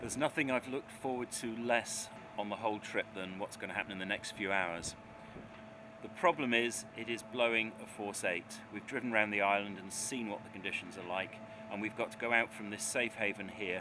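Over noticeable background noise, a man with a fairly low pitch speaks fairly quickly, his intonation fairly even. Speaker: presenter. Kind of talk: travel vlog to camera. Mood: anxious, apprehensive. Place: waterside. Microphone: phone near.

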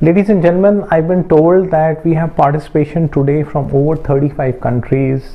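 With hardly any pauses, a man talks at a moderate pace in a fairly high pitch, his loudness very even and his pitch varying in an ordinary way. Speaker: media executive. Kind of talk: welcome speech. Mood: warm, ceremonial.

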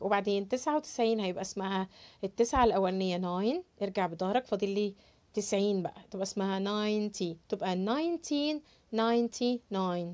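Speaking in an Egyptian accent, a woman uses a fairly high pitch, ordinary pitch variation and a moderate pace. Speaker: English teacher. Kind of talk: tutorial. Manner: animated. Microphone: lapel.

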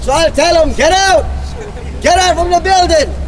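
Noticeable background noise surrounds a man whose pitch is extremely high. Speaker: street preacher. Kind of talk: loud street preaching. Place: street.

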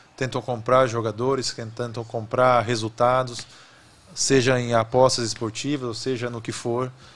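A man speaks at a moderate pace. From Rio Grande do Sul, Brazil. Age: 30s. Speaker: former goalkeeper, football executive; podcast guest. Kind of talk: interview conversation. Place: studio. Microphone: studio mic.

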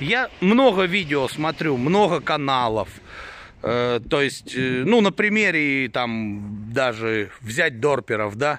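A man with a fairly high pitch, very wide pitch swings and a very slow pace, in a dry sound with no echo. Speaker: sheep breeder vlogger. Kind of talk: casual vlog monologue. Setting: outdoors at farm. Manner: blunt, irritated at times. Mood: mildly irritated. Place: farm. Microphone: phone near.

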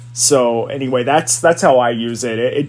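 A man with an American accent, fairly even intonation, and noticeable background noise. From US South, South Carolina. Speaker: assistant principal and photographer. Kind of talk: casual chat.

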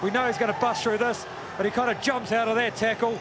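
Over noticeable background noise, a man speaks in a high, monotone, flat voice. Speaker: rugby co-commentator and analyst. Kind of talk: live match co-commentary with analysis. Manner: conversational, explanatory, measured.

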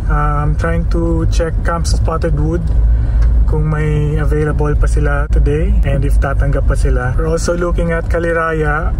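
Delivery is fairly slow and monotone, with flat intonation and very even loudness. The sound is dry with no echo, though there is noticeable background noise. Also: man, very deep, low pitch for a man. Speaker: car camping vlogger. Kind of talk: casual vlog chat. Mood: mildly disappointed, calm. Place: car. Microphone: phone near.

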